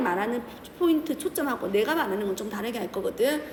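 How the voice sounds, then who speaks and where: With audible room echo and noticeable background noise, a woman speaks in very wide pitch swings. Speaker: chemistry teacher. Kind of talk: lecture. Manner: fast.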